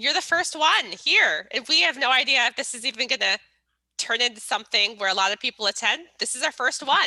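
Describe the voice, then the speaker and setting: A woman speaks loudly with lively intonation and a bright, sharp tone. The sound is dry and close with no echo, on a very clean recording with a silent background. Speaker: networking event host. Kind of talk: casual chat. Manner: animated.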